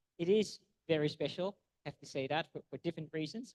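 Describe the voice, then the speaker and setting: A man speaks at a fairly quick pace with an American accent. His pitch varies in an ordinary way, and the sound is dry and close with no echo. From Netherlands. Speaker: food science professor. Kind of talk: lecture. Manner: halting, many repetitions and fillers.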